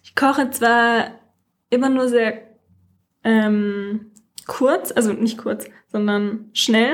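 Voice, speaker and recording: At a very slow pace with long, frequent pauses, a woman speaks at a fairly high pitch with fairly even intonation and big swings in loudness. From Franconia, Germany (Nuremberg). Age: 20s. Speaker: psychology student, dating podcast guest. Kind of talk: casual chat.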